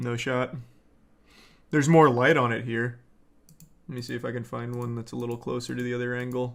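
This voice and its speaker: This man's voice sits at a medium pitch and stays monotone and flat. He moves at a fairly quick pace, broken by long, frequent pauses. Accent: American. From United States. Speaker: streamer. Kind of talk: casual live-stream commentary. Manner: deadpan.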